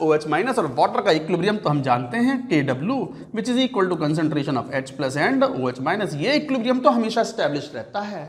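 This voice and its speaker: The speaker's pitch swings very widely at a moderate pace, with audible room echo and noticeable background noise. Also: man. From Uttar Pradesh, India. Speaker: chemistry teacher. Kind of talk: lecture. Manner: conversational, repetitive questioning.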